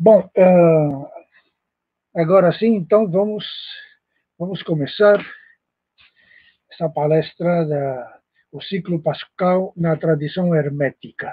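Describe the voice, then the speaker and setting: A man with a Spanish accent talks at a very slow pace, leaving long, frequent pauses. His high pitch shows ordinary variation, and his loudness swings widely. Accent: Spanish-accented Portuguese (portunhol). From Spain. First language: Spanish (speaking Portuguese). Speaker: professor, esoteric lecturer. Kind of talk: lecture. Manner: halting, many fillers.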